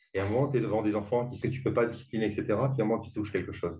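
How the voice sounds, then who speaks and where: A somewhat breathy male voice. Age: 60s. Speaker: author. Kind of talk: interview. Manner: halting.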